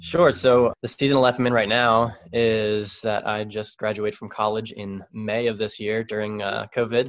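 A man's fairly low-pitched, ordinary speaking voice, with fairly even intonation, a moderate pace and hardly any pauses. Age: 20s. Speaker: podcast guest, author. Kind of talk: casual chat. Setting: phone call.

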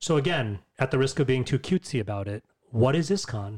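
Fairly quick, lively speech from a somewhat breathy man with an American accent at a medium pitch, on a very clean recording with a silent background. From US, New York. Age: 40s. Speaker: podcast guest, religious community member. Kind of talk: casual conversation.

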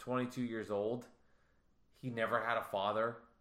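Heard with audible room echo, the speaker has a bright, sharp tone and a fairly slow pace. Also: man. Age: 30s. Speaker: podcast host. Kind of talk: casual chat.

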